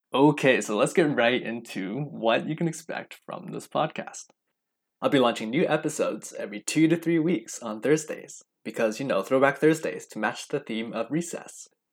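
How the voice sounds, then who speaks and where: A man with a Western Canadian accent at a fairly high pitch and moderate pace, with lively intonation and big swings in loudness, on a very clean recording with a silent background. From Canada, Vancouver. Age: 20s. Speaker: podcast host. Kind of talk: podcast intro monologue.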